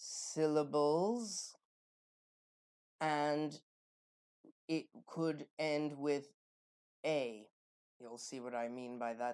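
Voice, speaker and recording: At a very slow pace with long, frequent pauses, a woman speaks in a very deep, low pitch with a dark, mellow tone and ordinary pitch variation. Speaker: tarot reader and spiritual performer. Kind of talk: spoken tutorial to camera. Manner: casual, thinking aloud.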